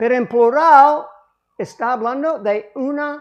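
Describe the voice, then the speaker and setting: A woman speaks at a very slow pace with an English accent. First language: English (speaking Spanish). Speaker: pastor. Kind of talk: sermon.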